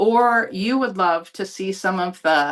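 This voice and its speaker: A woman talks in an American accent. Her intonation is lively. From US, Buffalo, New York. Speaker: psychic channeler and healer. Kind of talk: presentation to a group.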